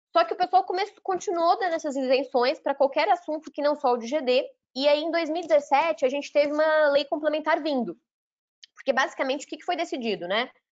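A woman talks at a fairly quick pace. Her voice is high-pitched with ordinary pitch variation. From Brazil, Minas Gerais. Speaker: lawyer and energy sector executive. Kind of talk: interview.

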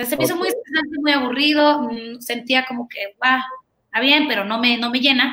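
A woman's raised, projected voice, bright and sharp in tone, with ordinary pitch variation. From Honduras (Tegucigalpa), Mexican family. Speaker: pediatric dentist. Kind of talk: interview. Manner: fast, energetic.

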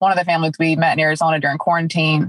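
A woman talks at a very fast pace. Her pitch is fairly low. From upstate South Carolina. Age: 20s. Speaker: stay-at-home mom. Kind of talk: casual interview chat.

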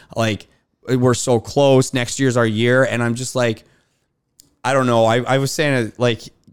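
This man has a plain, everyday voice of medium pitch, speaking with a Canadian accent. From Canada. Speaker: beverage company founder. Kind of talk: casual chat.

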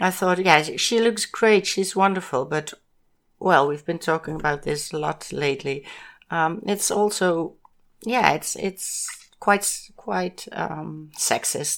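In a very clean recording with a silent background, a woman with a Dutch accent speaks very slowly at a fairly low pitch with ordinary pitch variation. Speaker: podcast co-host, host's mother. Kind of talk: casual chat. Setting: home recording. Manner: halting.

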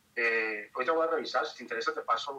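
A man keeps a moderate pace, and his pitch varies in an ordinary way. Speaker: photographer and influencer. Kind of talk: casual interview. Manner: talkative.

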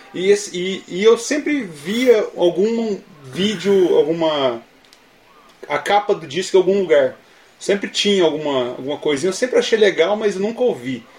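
Against noticeable background noise, a man speaks slowly-ish in a high voice with lively intonation. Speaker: podcast co-host. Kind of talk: casual chat.

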